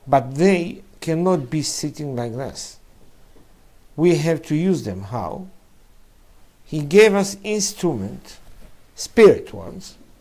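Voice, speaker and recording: A man with a fairly high pitch and a dark, mellow tone speaks at a very slow pace with long, frequent pauses, very wide pitch swings and big swings in loudness, all in audible room echo. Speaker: rabbi teaching Kabbalah. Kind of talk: lecture. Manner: halting.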